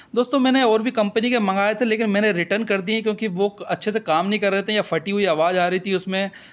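This man talks at a moderate pace with a high pitch and fairly even intonation. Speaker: YouTuber doing product unboxing. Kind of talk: unboxing review tutorial. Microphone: phone near.

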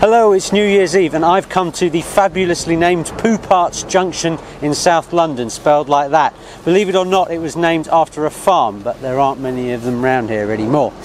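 Light background noise accompanies a man's voice. He goes at a fairly quick pace, and the sound is dry with no echo. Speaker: presenter. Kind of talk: presenter piece to camera. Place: street. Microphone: lapel.

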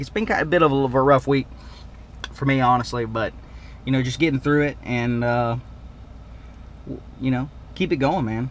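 A man is speaking at medium pitch. His pace is moderate.

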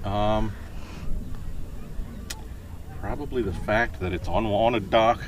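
A man at a fairly slow pace with fairly even intonation, in a dry sound with no echo and light background noise. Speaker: interviewee. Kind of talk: interview answer. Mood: relaxed, dry humor. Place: boat. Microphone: camera far.

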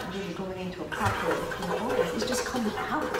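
A woman is speaking amid noticeable background noise. Room echo is audible. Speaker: lifestyle coach. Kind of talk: explanatory talk to guests. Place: gym. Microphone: camera far.

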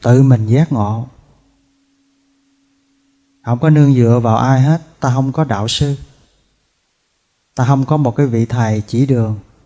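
A man against a quiet background. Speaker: monk teacher. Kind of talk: sermon. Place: hall. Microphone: podium.

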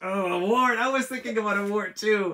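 A man projects a raised voice at a moderate pace, his tone bright and sharp. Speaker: author and illustrator. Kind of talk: live drawing tutorial for kids. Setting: home art studio, livestream. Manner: animated. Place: home room.

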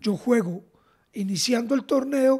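Against a quiet background, a man talks fairly slowly at an extremely high pitch, his tone dark and mellow with ordinary pitch variation. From Colombia. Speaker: football podcast co-host, former player; football podcast co-host. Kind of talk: casual football chat. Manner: repetitive stammering. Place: home room. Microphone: studio mic.

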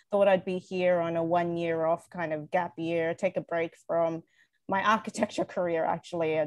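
An unremarkable speaking voice from a woman, fairly low in pitch, at a moderate pace, with a quiet background and dry sound with no echo. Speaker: guest. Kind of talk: interview answer. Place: home room. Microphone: video call.

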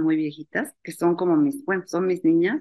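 A woman with a fairly low pitch speaks at a moderate pace in an ordinary speaking voice against a quiet background. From Mexico, Mexico City; Mexico. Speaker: university founder, spirituality event organizer; interview guest. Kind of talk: interview. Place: home room. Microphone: webcam.

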